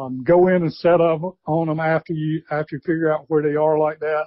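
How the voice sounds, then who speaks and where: Speaking with a Southern US accent, a man uses a high pitch at a moderate pace. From US South, South Carolina. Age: 60s. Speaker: retired wildlife biologist and turkey call maker. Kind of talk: interview.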